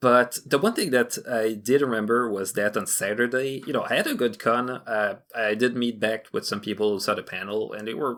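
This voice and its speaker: Heard on a very clean recording with a silent background, the speaker has a Quebec accent and fairly even intonation. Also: man, medium pitch for a man, moderate pace. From Quebec (Montreal). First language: French. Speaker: fan animator. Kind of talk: casual chat. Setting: podcast recording.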